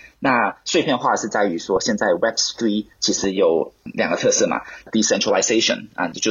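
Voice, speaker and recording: A man speaks at a moderate pace. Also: hardly any pauses, very even loudness. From Hong Kong. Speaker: startup co-founder, software engineer. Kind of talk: interview. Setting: video call.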